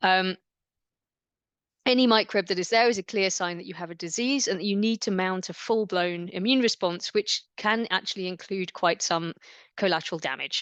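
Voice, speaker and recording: A woman's voice with ordinary pitch variation, dry and close with no echo, over a quiet background. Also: medium pitch for a woman, moderate pace. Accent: English. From England, London area. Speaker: immunology researcher. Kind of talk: lecture.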